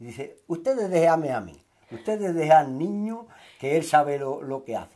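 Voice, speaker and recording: Over a quiet background, a man with fairly high pitch and a dark, mellow tone talks at a moderate pace with lively intonation and big swings in loudness. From Andalusia, Huelva (Sierra de Aracena); Andalusia. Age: 60s. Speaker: retired local resident, Red Cross volunteer; interviewee. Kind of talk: interview. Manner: halting. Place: home room.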